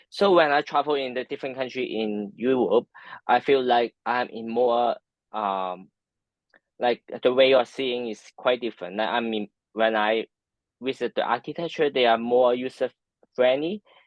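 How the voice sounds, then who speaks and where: Speaking in a Hong Kong accent, a man keeps a medium pitch and moderate pace with ordinary pitch variation. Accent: Hong Kong Cantonese-accented English. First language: Cantonese. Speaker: architecture and design professional. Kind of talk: interview. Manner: halting, many fillers.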